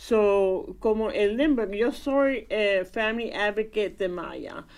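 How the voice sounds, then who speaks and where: This woman has a medium-pitched voice. She talks at a very slow pace. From Indiana, US, of Puerto Rican parents. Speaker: preschool program family advocate. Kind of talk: radio interview. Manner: halting.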